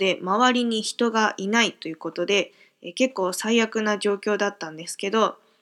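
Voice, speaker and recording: A woman at a medium pitch and moderate pace, on a very clean recording with a silent background. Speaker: podcaster. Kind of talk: casual monologue. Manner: filler-heavy, with frequent hesitations.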